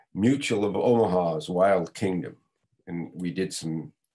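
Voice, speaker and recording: A voice with a dark, mellow tone and an American accent speaks at a very slow pace with ordinary pitch variation. The background is quiet. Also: man. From California, Los Angeles area; California. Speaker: stuntman; podcast guest. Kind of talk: interview. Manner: halting, many fillers. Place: home room. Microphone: video call.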